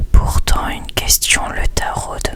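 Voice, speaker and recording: A man whispering over noticeable background noise. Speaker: ASMR content creator. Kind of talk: whispered story reading. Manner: whispered, soft-spoken.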